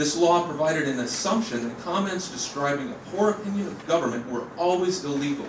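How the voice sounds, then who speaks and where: A man with a high voice talks at a fairly quick pace with ordinary pitch variation. Audible room echo and noticeable background noise surround him. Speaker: member of the public giving comment. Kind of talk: formal public comment read from script. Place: hall. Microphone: podium.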